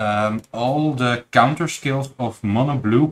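A man talks at a fairly slow pace in an ordinary speaking voice. His pitch varies in an ordinary way. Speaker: card game player and tournament judge. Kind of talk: casual chat during card game match. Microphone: camera far.

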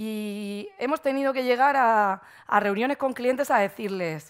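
A woman with a Murcian accent speaks at a fairly slow pace and fairly high pitch, with ordinary pitch variation, in a quiet background. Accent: Murcian Spanish, drops consonants. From Murcia, Spain; Spain. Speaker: marketing agency owner, conference speaker; conference speaker. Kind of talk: conference talk. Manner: frequent fillers and hesitations; careful pronunciation. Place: stage. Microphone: headset.

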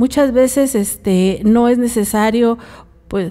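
Dark, mellow tone from a woman with a Mexican accent, fairly even intonation, quiet background. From Mexico. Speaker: co-host; radio show host or guest. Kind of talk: live radio talk. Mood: earnest, advising. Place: studio. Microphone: studio mic.

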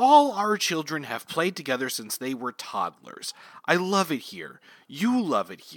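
A man uses a put-on character voice at a fairly high pitch, with very wide pitch swings. He talks at a fairly slow pace.

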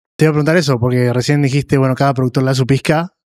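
Against a quiet background, a man with a Rioplatense accent speaks very fast in a monotone, flat way. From Argentina. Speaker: podcast host. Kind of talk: interview. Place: studio. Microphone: studio mic.

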